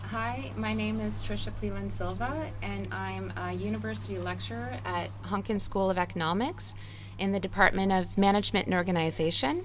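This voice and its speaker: There's audible room echo as a woman with a Canadian accent speaks at a moderate pace. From Canada. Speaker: university lecturer. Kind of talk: panel discussion.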